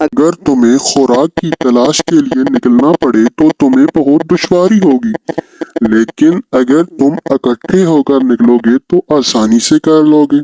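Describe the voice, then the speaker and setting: Using a cartoonish character voice, a man with a fairly high pitch speaks at a fairly slow pace. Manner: gentle, sensible.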